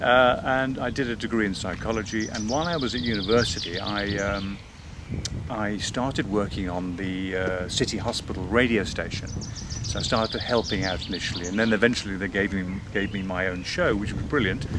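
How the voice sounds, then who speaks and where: Against noticeable background noise, a man with a fairly low pitch and ordinary pitch variation talks at a fairly quick pace, the sound dry with no echo. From Northern Ireland. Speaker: voice actor. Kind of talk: interview answer. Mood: relaxed, reflective. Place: garden.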